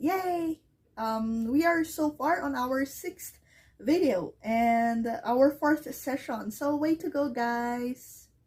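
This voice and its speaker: Very slowly and with lively intonation, a woman with a Filipino accent speaks in a high voice, captured in a very clean recording with a silent background. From Philippines. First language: Filipino language. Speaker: ESL teacher. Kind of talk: English lesson to camera.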